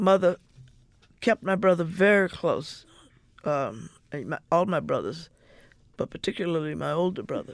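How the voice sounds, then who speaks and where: At a moderate pace broken by long, frequent pauses, a woman speaks at a medium pitch with ordinary pitch variation and vocal fry. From US South, Mississippi. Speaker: civil rights activist and sociologist. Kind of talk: interview, personal recollection. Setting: radio studio.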